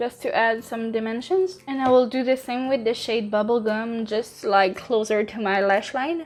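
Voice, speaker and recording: A woman with a French accent at a fairly slow pace, hardly any pauses. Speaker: makeup youtuber. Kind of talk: tutorial; casual chat. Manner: halting.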